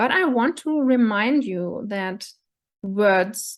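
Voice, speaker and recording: Against a quiet background, a woman with a German accent speaks at a very slow pace, her fairly high voice carrying lively intonation. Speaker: coach / vlogger. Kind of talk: monologue to camera. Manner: halting, with fillers.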